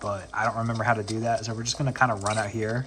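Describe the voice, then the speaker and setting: Over noticeable background noise, a man with an American accent speaks at a very fast pace. His intonation is fairly even. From US South. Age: 20s. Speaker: gaming YouTuber. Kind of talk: gameplay commentary. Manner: casual, hesitant with fillers.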